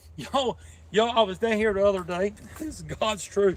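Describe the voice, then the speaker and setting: A man with a North Carolina accent talks in an animated tone at a high pitch. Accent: Southern US (North Carolina). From North Carolina (Denton). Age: 50s. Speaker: fishing livestreamer. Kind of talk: casual live-stream chat. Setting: outdoors.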